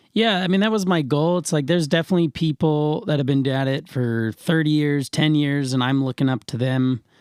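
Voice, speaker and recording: A man's plain, everyday voice, fairly high in pitch, at a fairly quick pace with hardly any pauses, very even loudness and ordinary pitch variation. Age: 20s. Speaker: professional musician. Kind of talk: casual interview chat.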